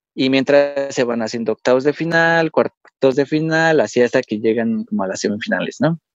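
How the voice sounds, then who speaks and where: Lively, fairly high male voice at a moderate pace, hardly any pauses, music in the background. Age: 20s. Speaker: paralympic archer. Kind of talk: interview.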